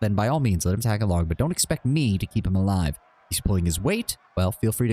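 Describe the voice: The clip is plain reading aloud, its intonation lively.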